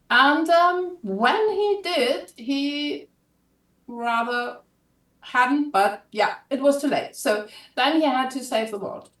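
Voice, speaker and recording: A woman with a German accent speaks at a high pitch and a very slow pace, her pitch swinging very widely. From Germany. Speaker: author. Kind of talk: casual pitch of own book on live stream. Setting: live video stream.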